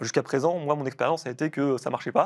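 Fairly quick speech from a man with a fairly high pitch and fairly even intonation, set against a quiet background. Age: 30s. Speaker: cybersecurity researcher; guest. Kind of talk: interview. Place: studio.

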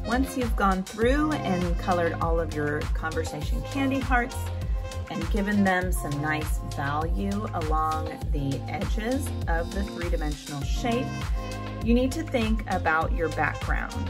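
The speech moves at a fairly slow pace. Clear music plays in the background. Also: woman. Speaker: art teacher. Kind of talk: tutorial. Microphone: phone near.

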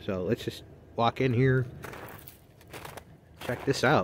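The voice moves at a moderate pace with ordinary pitch variation, in a dry sound with no echo and light background noise. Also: man. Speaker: railfan vlogger. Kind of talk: casual vlog chat. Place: forest. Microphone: phone near.

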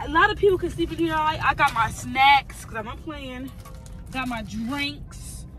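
Over clear music in the background, a woman speaks in a dry sound with no echo. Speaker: vlogger. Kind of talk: casual vlog chat. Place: car. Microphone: phone near.

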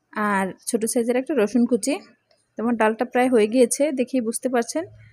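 A woman's high-pitched voice, dark and mellow in tone, with fairly even intonation and a dry, close sound with no echo. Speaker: cooking channel host. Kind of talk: cooking tutorial. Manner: soft-spoken.

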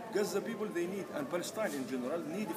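A man speaks over loud background noise. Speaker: activist spokesperson. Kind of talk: interview answer. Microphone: camera far.

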